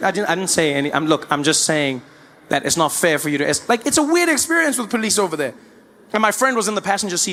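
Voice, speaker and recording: In a South African accent, a man speaks in a raised, projected voice at a high pitch and a very fast pace, his pitch swinging very widely. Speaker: stand-up comedian. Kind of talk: live stand-up comedy.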